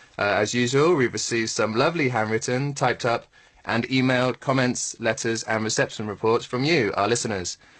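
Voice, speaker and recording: Pitch varies in an ordinary way as a man talks with an English accent. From southern England, Bournemouth. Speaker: radio presenter. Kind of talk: radio presenting; radio show chat.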